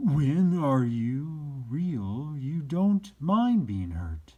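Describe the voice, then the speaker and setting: A man puts on a character voice. He speaks at a very slow pace and a fairly high pitch. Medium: read story. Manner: gentle, unhurried, wise.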